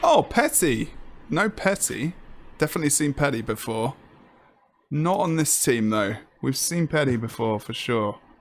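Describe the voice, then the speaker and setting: A man with an English accent talks at a moderate pace, pausing often and at length. His fairly high voice has lively intonation. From England. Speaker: esports commentator. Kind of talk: live commentary.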